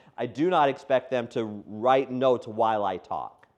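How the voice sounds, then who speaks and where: Medium in pitch, a man speaks with ordinary pitch variation. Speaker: education trainer. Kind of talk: workshop lecture. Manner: fast.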